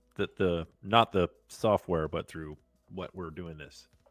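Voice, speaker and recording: Music plays in the background as a man with an American accent speaks at a fairly slow pace, the sound dry and close with no echo. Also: big swings in loudness. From Florida, Tampa. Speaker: podcaster. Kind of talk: live stream chat. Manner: loud.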